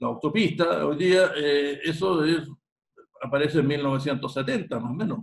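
A man talks at a fairly slow pace in a fairly high pitch, somewhat breathy, with ordinary pitch variation. Light background noise is present. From Chile, San Bernardo near Santiago. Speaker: history teacher and local historian. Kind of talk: interview. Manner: halting, many repetitions. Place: home room. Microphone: video call.

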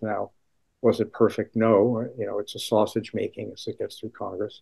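A man talks at a moderate pace. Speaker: economics professor. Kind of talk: interview answer. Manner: soft-spoken; low-key.

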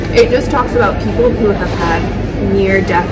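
Background music behind a woman's speech. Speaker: vlogger. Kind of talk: casual vlog chat. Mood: relaxed, chatty. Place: cafe. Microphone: phone near.

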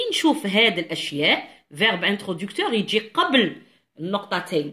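The tone is bright and sharp, with very wide pitch swings. The background is quiet. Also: woman. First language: Algerian Arabic (speaking French). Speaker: French teacher. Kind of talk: tutorial. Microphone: phone near.

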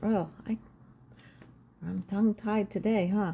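A woman speaks at a fairly slow pace. Her tone is dark and mellow, and somewhat breathy. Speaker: spiritual card reader and video creator. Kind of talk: guided meditation. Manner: calm, gentle, reflective. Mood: calm, gentle. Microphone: phone near.

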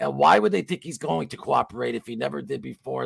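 Against a quiet background with a dry sound and no echo, a man with a very deep, low voice and vocal fry talks very fast, his pitch swinging very widely. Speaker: podcast host. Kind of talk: casual chat. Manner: animated. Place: home room.

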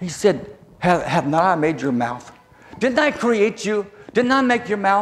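A man with an American accent speaks at a high pitch. His pitch swings very widely. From southern Virginia, US South. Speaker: preacher. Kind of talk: sermon. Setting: church. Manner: halting. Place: hall. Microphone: lapel.

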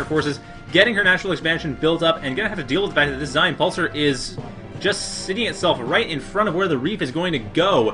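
With music in the background, a man speaks very fast at a high pitch with ordinary pitch variation. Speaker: game commentator. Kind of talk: live esports play-by-play commentary.

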